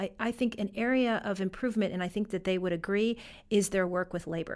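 In an American accent, a woman with an unremarkable speaking voice talks at a fairly quick pace with fairly even intonation, in a very clean recording with a silent background. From western New York (Fredonia). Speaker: foundation director. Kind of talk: interview. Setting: studio.

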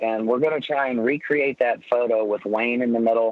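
This is an ordinary speaking voice from a man with a medium pitch. He talks at a moderate pace with fairly even intonation. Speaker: former motorcycle racer, charity organizer. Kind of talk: casual chat. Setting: phone call.

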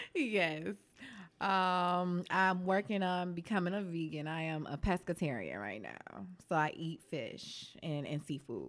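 Over a silent background in a very clean recording, a woman with an American accent speaks fairly slowly in a plain, everyday voice, fairly low in pitch with ordinary pitch variation. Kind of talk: casual conversation interview.

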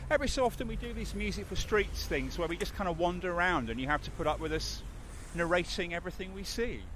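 This is a man with a slight London accent. He talks at a very fast pace. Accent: London, slightly geezerish. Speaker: podcast host. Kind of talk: casual chat. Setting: studio.

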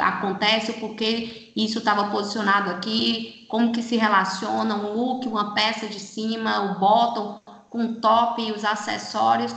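There is noticeable background noise and audible room echo as a woman talks in a fairly high pitch. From Brazil, Fortaleza (Ceará). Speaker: retail specialist. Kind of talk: casual chat.

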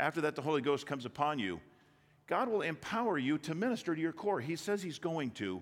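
A man's fairly high voice with a Midwestern American accent, very wide pitch swings and a very fast pace. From Michigan, Detroit area. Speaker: business owner speaking at church. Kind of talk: sermon. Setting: church.

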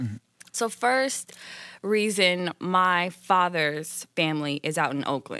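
The tone is bright and sharp, with an American accent. The sound is dry and close with no echo, and the recording is very clean over a silent background. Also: woman. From Indianapolis, Indiana. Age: 20s. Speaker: YouTuber. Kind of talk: casual chat.

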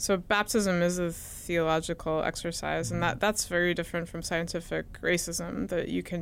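On a very clean recording with a silent background, a woman talks at a moderate pace in a fairly low pitch, a plain, everyday voice. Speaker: podcast host, historian. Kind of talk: interview.

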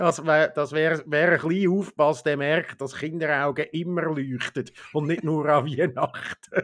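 Using a plain, everyday voice, a man with a fairly high pitch speaks at a fairly slow pace with fairly even intonation and hardly any pauses. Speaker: podcast co-host. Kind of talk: casual chat. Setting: home.

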